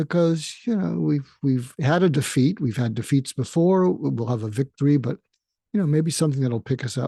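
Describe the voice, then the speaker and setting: A man speaks with a dark, mellow tone and a somewhat breathy quality. His intonation is lively. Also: fairly high pitch for a man. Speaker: psychiatrist and podcast host. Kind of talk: solo podcast monologue. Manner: slow.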